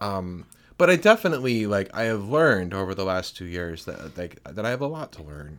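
On a very clean recording with a silent background, a man talks at a fairly quick pace in a fairly low pitch, with very wide pitch swings and big swings in loudness. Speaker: podcast co-host. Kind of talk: casual chat. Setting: recorded at home.

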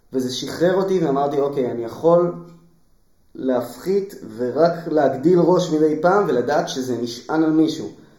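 Dark, mellow male voice with ordinary pitch variation and audible room echo. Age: 30s. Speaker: musician and musical creator. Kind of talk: interview.

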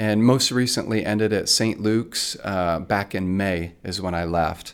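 In a plain, everyday voice, a man with fairly low pitch and ordinary pitch variation speaks fairly slowly on a very clean recording with a silent background. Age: 50s. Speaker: stage actor. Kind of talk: casual chat.

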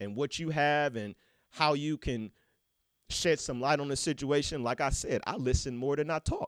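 A man talks in an animated way at a fairly high pitch and a moderate pace. The recording is very clean and dry, close and free of echo, with a silent background. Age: 30s. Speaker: podcast host. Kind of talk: casual monologue.

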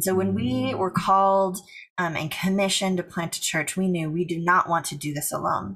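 A woman talks in a plain, everyday voice with an American accent. Her pitch is fairly low with ordinary variation, and her pace is fairly quick. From US Pacific Northwest. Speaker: church planter. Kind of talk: casual interview.

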